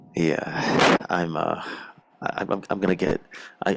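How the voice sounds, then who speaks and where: Noticeable background noise behind a man's very deep, low voice. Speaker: gaming commentator. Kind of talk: casual chat. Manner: animated.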